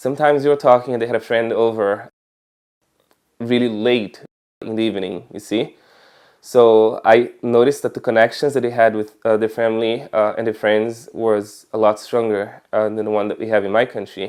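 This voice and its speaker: In a monotone, flat intonation, a man at medium pitch talks at a moderate pace. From Brazil, Espírito Santo. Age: 20s. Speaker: convert sharing testimony. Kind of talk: testimony. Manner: hesitant, many fillers.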